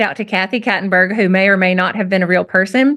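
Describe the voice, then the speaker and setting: A woman talks very fast with a strong rural Southern US accent. The recording is very clean, with a silent background. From US South, rural. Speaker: writer. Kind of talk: conversational interview, storytelling. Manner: animated.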